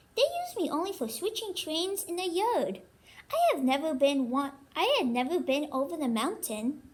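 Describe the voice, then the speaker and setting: Using a put-on character voice, a woman pitches her speech extremely high. Her pace is moderate. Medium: read story. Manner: kind.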